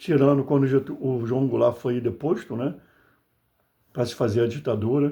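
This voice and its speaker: Against a quiet background, a man with a dark, mellow tone and a somewhat breathy, medium-pitched voice talks at a moderate pace with fairly even intonation and long, frequent pauses. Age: 60s. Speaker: political commentator, video blogger. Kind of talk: political monologue to camera. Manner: impassioned, conversational.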